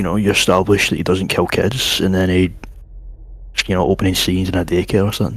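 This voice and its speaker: Speaking at a very fast pace with fairly even intonation, a man with a very deep, low pitch is heard over noticeable background noise. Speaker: stream co-guest. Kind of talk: casual chat. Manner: loud.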